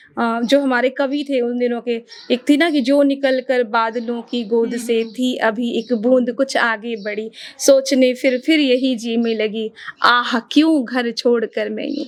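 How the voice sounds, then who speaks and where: A woman speaks at high pitch against noticeable background noise. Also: fairly even intonation. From Uttarakhand, India. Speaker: radio anchor and voice artist. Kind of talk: podcast interview answer.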